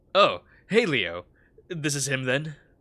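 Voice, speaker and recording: A man puts on a gravelly character voice, fairly high in pitch, with very wide pitch swings. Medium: read story. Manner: curt, unfriendly.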